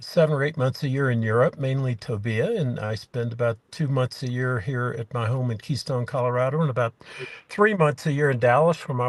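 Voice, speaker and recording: Against a quiet background, a man with a medium-pitched, somewhat breathy voice speaks fairly quickly with ordinary pitch variation. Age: 60s. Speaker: small farmer, property owner abroad. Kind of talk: interview. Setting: video call from a car in the mountains. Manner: halting, many fillers.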